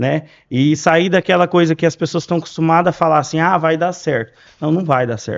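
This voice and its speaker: Over a quiet background, a man with an unremarkable speaking voice talks at a fairly high pitch and fairly quick pace, with ordinary pitch variation. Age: 30s. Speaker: glass industry sales professional. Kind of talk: podcast interview.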